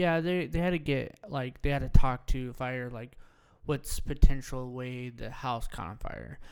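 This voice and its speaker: A normal speaking voice at a fairly slow pace, with ordinary pitch variation and big swings in loudness. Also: man, medium pitch for a man. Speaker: podcast co-host, coffee shop owner. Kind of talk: casual chat.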